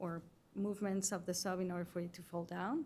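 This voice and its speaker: A woman speaks with a non-native accent at a moderate pace, her voice at a medium pitch with a dark, mellow tone. Her intonation is monotone and flat. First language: not English. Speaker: witness at a hearing, former submersible dive participant. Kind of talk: testimony. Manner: halting.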